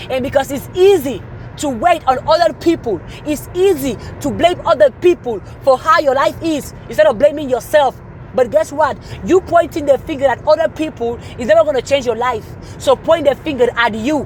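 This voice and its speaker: With a non-native accent and a high pitch, a woman speaks at a moderate pace in an animated tone, her pitch varying in an ordinary way amid noticeable background noise. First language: not English. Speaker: motivational speaker. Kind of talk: motivational talk.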